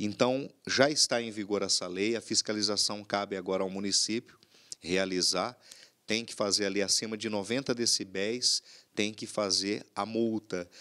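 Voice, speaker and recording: A man talks at a fairly slow pace, his pitch fairly low. His tone is bright and sharp, with fairly even intonation. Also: quiet background. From São Paulo interior, Brazil; São Paulo, Brazil. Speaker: podcast guest, journalist, councilman. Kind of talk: interview conversation. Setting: TV studio. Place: studio. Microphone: studio mic.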